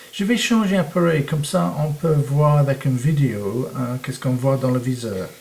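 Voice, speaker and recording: With a non-native accent, a man speaks at a fairly high pitch and moderate pace, his intonation lively over noticeable background noise. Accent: foreign accent in French. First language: English (speaking French). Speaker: photography teacher. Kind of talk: tutorial. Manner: halting, many hesitations.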